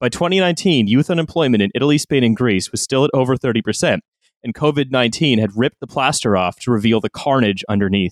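Speaking at a fairly quick pace, a man at a medium pitch has a plain, everyday voice. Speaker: podcast host. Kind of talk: casual chat.

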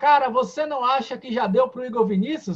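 Fairly quick in pace, a man talks at an extremely high pitch. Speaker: football podcast host. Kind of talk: casual football chat. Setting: live stream studio.

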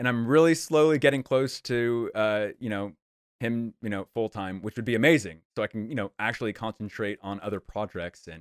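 The recording is very clean, with a silent background. It carries an unremarkable speaking voice at a moderate pace with ordinary pitch variation. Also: man, dry, close sound with no echo. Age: 30s. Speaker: YouTuber and former attorney. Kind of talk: casual interview.

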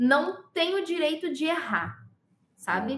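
Her intonation sounds lively. The woman speaks at a very slow pace. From Pernambuco, Brazil. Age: 20s. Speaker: sign language interpreter. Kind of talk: casual interview.

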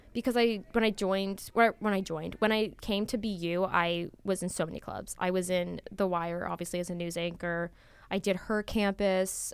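A woman with an American accent speaks at a moderate pace and a medium pitch. Her intonation stays fairly even, and the recording is very clean with a silent background. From US West, Las Vegas, Nevada. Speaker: student magazine photo director. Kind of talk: casual interview. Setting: studio.

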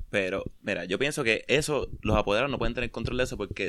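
A man at medium pitch and a very fast pace, on a very clean recording with a silent background. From Puerto Rico, Mayagüez. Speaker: podcast host. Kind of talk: casual chat.

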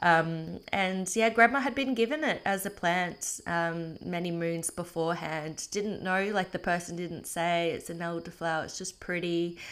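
With an Australian accent, a woman with a fairly low voice talks at a moderate pace with ordinary pitch variation and hardly any pauses, in a very clean recording with a silent background. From Australia, North Queensland (Townsville). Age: 30s. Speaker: podcast host and permaculture educator. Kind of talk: solo podcast monologue. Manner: casual with frequent fillers (um, uh).

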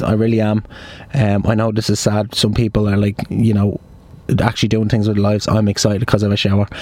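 With an Irish accent, a man talks at a fairly quick pace in a fairly low pitch, his intonation monotone and flat, against noticeable background noise. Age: 20s. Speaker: podcast host. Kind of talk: casual chat. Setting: in a car.

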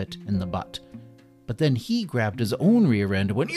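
A passage is read aloud in a natural voice.

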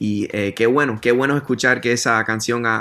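A man at a fairly quick pace, medium in pitch, with monotone, flat intonation. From US, Miami, Florida. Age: 30s. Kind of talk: interview. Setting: remote call.

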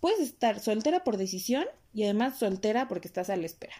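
Very wide pitch swings mark this very fast delivery, its tone dark and mellow, in a Mexican accent. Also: woman. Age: 20s. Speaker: podcast host. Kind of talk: solo monologue podcast.

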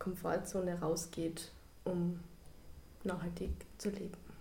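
Audible room echo surrounds a woman as she talks. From Carinthia, Austria. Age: young. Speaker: university student. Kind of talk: casual interview.

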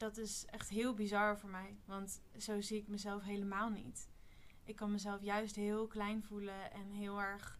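A woman's medium pitch in monotone, flat intonation at a fairly slow pace, with audible room echo. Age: 20s. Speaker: spiritual retreat participant. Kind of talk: casual chat.

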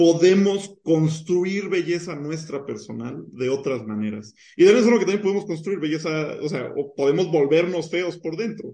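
A high-pitched male voice, dark and mellow in tone, with lively intonation and hardly any pauses. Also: moderate pace. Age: 20s. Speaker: mathematician. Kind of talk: casual chat.

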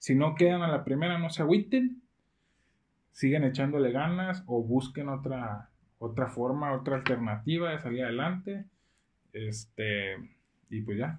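A somewhat breathy man with a fairly high pitch speaks with lively intonation and long, frequent pauses. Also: fairly slow pace. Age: 20s. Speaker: surgical resident doctor. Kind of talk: casual chat.

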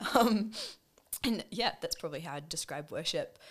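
A woman speaks in a New Zealand accent with ordinary pitch variation. The recording is very clean, with a silent background. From New Zealand, Wellington. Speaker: nurse and worship leader. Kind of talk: casual chat. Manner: animated.

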